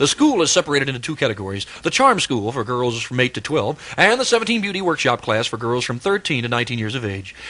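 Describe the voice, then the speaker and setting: Talking at a very fast pace, a man with an American accent uses lively intonation. Noticeable background noise is present. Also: medium pitch for a man. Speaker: radio DJ. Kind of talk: live radio commercial read. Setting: AM radio broadcast.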